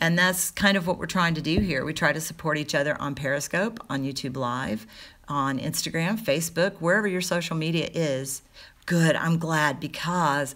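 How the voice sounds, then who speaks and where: Her voice has a very deep, low pitch for a woman, a bright, sharp tone and ordinary pitch variation. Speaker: live streamer and online community organizer. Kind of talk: casual livestream update and tutorial. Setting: YouTube live stream. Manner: loud, projecting voice toned down.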